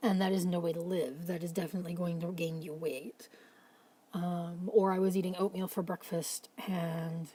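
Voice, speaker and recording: A woman speaks with a fairly low voice. Her tone is dark and mellow, and somewhat breathy. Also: fairly even intonation, moderate pace. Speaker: mental health vlogger. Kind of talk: casual late-night talk to camera. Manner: rambling, pausing, stuttering.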